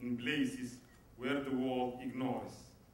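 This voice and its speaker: This man talks at a very slow pace, with audible room echo and noticeable background noise around him. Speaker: human rights activist. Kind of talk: award acceptance speech. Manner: halting.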